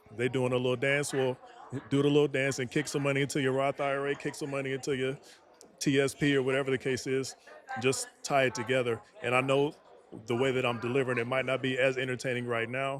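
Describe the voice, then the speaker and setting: Music plays behind a man talking very fast. His medium-pitched voice is monotone, with flat intonation. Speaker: aspiring nonprofit founder, Air Force mechanic. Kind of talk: casual chat.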